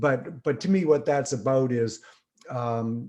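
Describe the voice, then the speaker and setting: Ordinary pitch variation in a man's voice of medium pitch, dark and mellow in tone. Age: 60s. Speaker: singer-songwriter. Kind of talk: podcast interview. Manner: halting, many fillers.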